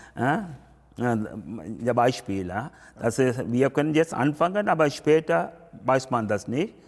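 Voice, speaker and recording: At a very slow pace, a man with a medium pitch speaks with lively intonation and very even loudness. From Sri Lanka. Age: 50s. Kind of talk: interview. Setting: temple. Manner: halting.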